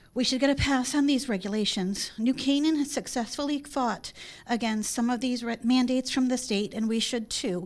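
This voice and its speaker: A woman with an American accent speaks in a high pitch with ordinary pitch variation. The recording is very clean, with a silent background. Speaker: public commenter. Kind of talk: public hearing statement. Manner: fast.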